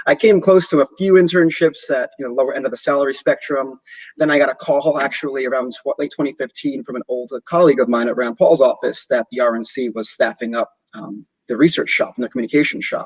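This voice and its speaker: Heard in a dry, close sound with no echo, a man with an American accent talks at a very fast pace. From New York. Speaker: opposition researcher. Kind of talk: podcast interview.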